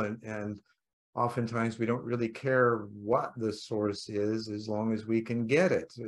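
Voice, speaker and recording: Talking at a fairly slow pace, a man uses a plain, everyday voice at medium pitch. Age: 60s. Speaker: podcast host. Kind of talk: casual interview conversation.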